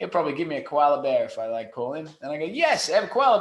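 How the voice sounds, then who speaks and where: A man with an Australian accent. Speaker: SEO company CEO. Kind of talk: podcast interview. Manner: animated.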